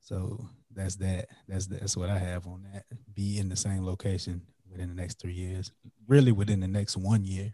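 Speaking in a monotone, flat intonation at a moderate pace, a man with an American accent has a very deep, low pitch and a dark, mellow tone that is somewhat breathy. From US South, South Carolina (Florence). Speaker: podcaster and entrepreneur. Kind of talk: casual chat.

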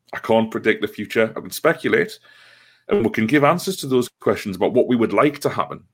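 Over a very clean, silent background, a man with a Geordie accent talks very fast at medium pitch with very wide pitch swings. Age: 30s. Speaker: football supporters' trust organiser. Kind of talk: casual interview. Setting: call.

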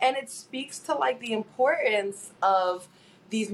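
This woman has a normal speaking voice, fairly high in pitch, with lively intonation. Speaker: sports broadcaster co-host. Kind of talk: casual chat.

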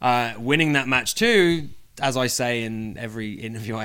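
In an English accent, a man speaks at a moderate pace and medium pitch with a bright, sharp tone. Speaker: professional wrestler. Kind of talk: interview. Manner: casual, laughing.

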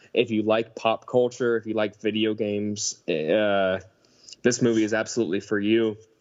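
A man with an ordinary speaking voice, medium pitch and moderate pace. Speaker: film fan guest. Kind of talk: casual chat.

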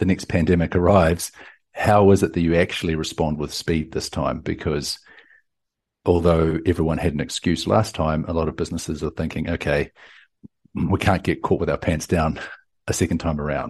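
Set against a quiet background, a man's voice is very deep and low, with a New Zealand accent. He keeps a moderate pace and fairly even intonation. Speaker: tech company CEO. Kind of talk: interview. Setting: remote call.

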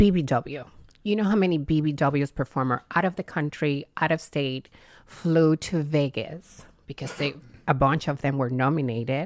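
Speaking at a moderate pace with a strong Cuban accent, a woman uses a very deep, low pitch and ordinary pitch variation in a very clean recording with a silent background. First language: Spanish. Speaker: adult film performer. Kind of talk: casual podcast interview. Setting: studio with microphones.

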